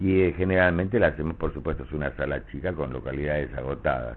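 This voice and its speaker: The man's pitch is very deep and low. Behind his voice, music is playing. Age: 70s. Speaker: stage and voice actor. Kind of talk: interview.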